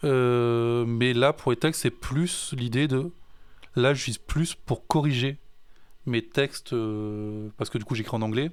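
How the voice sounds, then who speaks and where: In a very clean recording with a silent background, a man talks very slowly at medium pitch with ordinary pitch variation. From France. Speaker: musician. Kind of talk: casual chat. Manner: halting.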